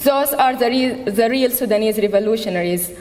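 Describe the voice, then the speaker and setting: Noticeable background noise and audible room echo surround a woman with a fairly high pitch and ordinary pitch variation. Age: 30s. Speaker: activist. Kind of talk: rally speech. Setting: stage with audience.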